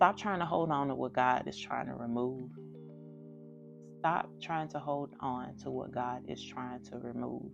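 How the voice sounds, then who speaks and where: With music in the background, a woman speaks fairly slowly, with long, frequent pauses and big swings in loudness. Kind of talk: faith talk to camera. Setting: phone recording.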